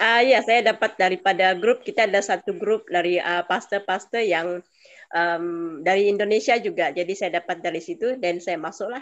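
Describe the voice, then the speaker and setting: A woman at a moderate pace, medium in pitch with ordinary pitch variation, in a Malaysian accent. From Malaysia, Sabah. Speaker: audience member asking questions. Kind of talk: Q&A. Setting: video call.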